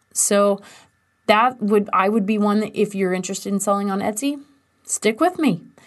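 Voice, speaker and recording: Against a quiet background, a woman speaks in a medium pitch with an enthusiastic tone. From US Midwest, western Kansas. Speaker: business coach and podcast host. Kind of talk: solo podcast tutorial.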